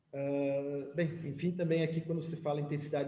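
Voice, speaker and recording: A man speaks at a moderate pace with a fairly high pitch. Audible room echo and noticeable background noise surround his voice. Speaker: winemaker giving a lecture. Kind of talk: lecture.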